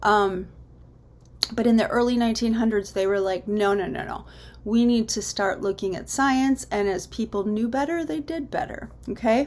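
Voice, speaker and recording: Over noticeable background noise, a woman talks at a moderate pace with lively intonation and a fairly high pitch. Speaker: teacher. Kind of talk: lecture.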